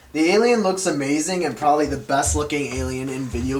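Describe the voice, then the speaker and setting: Speaking at a fairly quick pace, a man with a fairly high pitch uses lively intonation over noticeable background noise. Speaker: video game reviewer. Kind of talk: game review voice-over.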